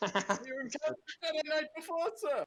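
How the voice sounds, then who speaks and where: The voice is a put-on character voice pitched high. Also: moderate pace. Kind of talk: comic overacting. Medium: read story. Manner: glum, deadpan.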